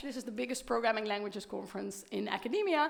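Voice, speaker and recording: A woman with a non-native accent, amid noticeable background noise and audible room echo. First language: Dutch. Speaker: professor. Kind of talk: keynote lecture. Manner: animated.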